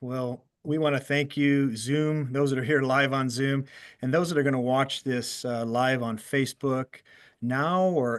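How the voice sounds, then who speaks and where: Over a quiet background, a man speaks fairly slowly in a normal speaking voice, medium in pitch, with fairly even intonation. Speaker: certified financial planner, show host. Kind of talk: live stream host talk.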